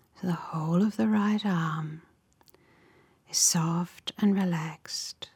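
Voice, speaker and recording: Very slowly and with long, frequent pauses, a woman speaks in a gentle, calm tone that is somewhat breathy, with a fairly low pitch, ordinary pitch variation and very even loudness. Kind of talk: guided meditation. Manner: slow, calm, soothing, with long pauses between short instructions; gentle, soft-spoken, even and unhurried.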